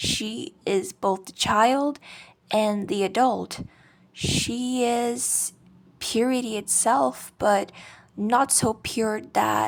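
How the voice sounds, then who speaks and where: On a very clean recording with a silent background, a woman with a non-native accent speaks very slowly at a fairly high pitch with lively intonation. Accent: non-native English accent, self-described. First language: not English. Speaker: video essayist. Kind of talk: scripted video essay narration. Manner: casual, conversational.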